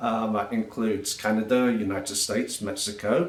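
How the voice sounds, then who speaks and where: An English-accented man at medium pitch and moderate pace, with noticeable background noise. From England. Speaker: travel blogger and technical sales trainer. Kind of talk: casual self-introduction monologue. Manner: hesitant with frequent fillers.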